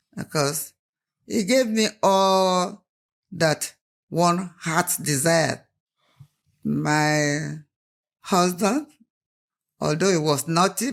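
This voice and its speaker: Speaking at a very slow pace with a Nigerian accent, a woman uses a fairly low pitch and ordinary pitch variation. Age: 80s+. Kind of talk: interview answer.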